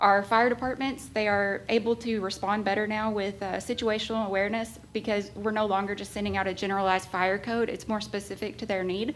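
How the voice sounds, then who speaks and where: A woman's medium-pitched voice, fairly quick in pace, with monotone, flat intonation. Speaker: 911 director. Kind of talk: public meeting report. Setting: county government meeting. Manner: fast.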